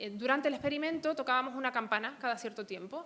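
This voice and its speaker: Speaking at a very fast pace, a woman shows ordinary pitch variation. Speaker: psychology researcher. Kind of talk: conference talk.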